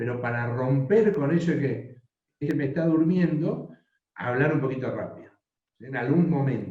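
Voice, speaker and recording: In a room with audible echo, a man with a fairly high voice speaks in a dark, mellow, somewhat breathy tone, his loudness swinging widely while his pitch varies normally. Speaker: professor teaching a workshop. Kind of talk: online workshop lecture. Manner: slow.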